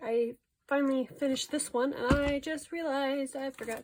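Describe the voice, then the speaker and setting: A woman with a high pitch talks at a moderate pace, with ordinary pitch variation. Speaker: artist. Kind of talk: casual talk to camera. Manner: stuttery, rambling.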